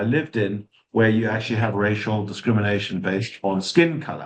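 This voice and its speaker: A man with a South African accent, medium in pitch, with fairly even intonation. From South Africa, Johannesburg. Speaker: sustainability consultant. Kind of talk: webinar talk. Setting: online session with chat.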